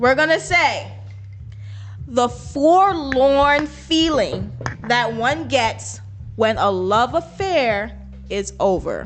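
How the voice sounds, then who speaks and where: With music playing in the background, a woman with an American accent speaks at a very slow pace, leaving long, frequent pauses. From Trinidad. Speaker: podcast co-host. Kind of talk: casual chat.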